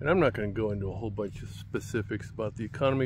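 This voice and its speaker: A man with vocal fry speaks at a medium pitch, with ordinary pitch variation. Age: 70s. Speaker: lifestyle vlogger. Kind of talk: casual monologue to camera. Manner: conversational, hesitant with repetitions.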